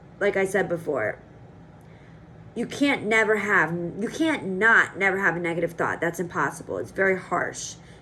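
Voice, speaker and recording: Noticeable background noise sits behind a woman's voice. Her medium pitch shows ordinary variation. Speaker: vlogger. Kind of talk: casual vlog monologue. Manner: fast.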